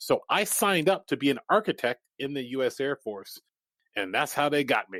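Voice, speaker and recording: A man with lively intonation at a fairly quick pace, in a very clean recording with a silent background and a dry, close sound with no echo. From Japan, then Iowa (US Midwest) from age 11. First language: Japanese. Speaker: entrepreneur and performer. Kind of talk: podcast interview.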